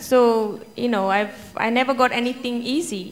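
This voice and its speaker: A woman speaks with an Indian accent. Her pitch is high. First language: Hindi. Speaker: children's author. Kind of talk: panel Q&A answer.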